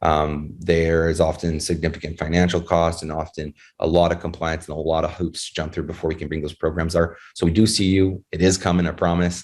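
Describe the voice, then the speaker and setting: A man's very deep, low voice in a monotone, flat intonation at a fairly quick pace, recorded very cleanly with a silent background. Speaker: executive at a digital currency company. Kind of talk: interview. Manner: fast; halting, many fillers.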